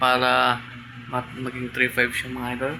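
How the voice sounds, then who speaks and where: A quiet man talks at a moderate pace over noticeable background noise. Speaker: tattoo artist vlogger. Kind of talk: casual vlog. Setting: indoors at home, mini shop.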